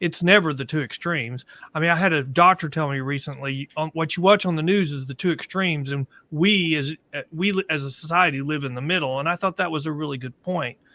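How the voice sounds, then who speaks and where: A man's fairly high voice, fairly quick, with a bright, sharp tone, ordinary pitch variation and a dry, close sound with no echo. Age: 60s. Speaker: podcast panelist. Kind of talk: panel discussion.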